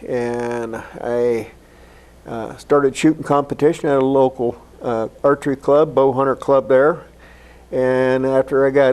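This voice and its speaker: Using a normal speaking voice, a man with an American accent talks at a medium pitch with fairly even intonation. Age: 60s. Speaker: archer and Vietnam veteran. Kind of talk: interview.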